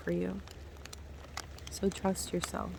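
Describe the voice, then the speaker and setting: Soft-spoken and at a very slow pace, a woman talks over noticeable background noise. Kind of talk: ASMR spiritual healing meditation. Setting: outdoors by the sea, with rain and waves.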